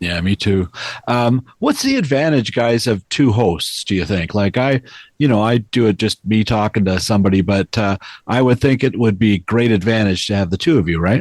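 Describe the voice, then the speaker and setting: A plain, everyday voice from a man, fairly low in pitch with ordinary pitch variation, at a moderate pace and very even loudness, dry and close with no echo over a quiet background. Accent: Canadian. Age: 60s. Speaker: TV critic and podcast host. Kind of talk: interview.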